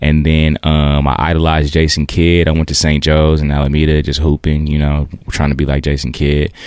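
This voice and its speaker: With noticeable background noise behind him, a man with a very deep, low pitch speaks at a fairly quick pace with hardly any pauses, very even loudness and monotone, flat intonation. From East Oakland, California. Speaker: musician. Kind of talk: casual chat.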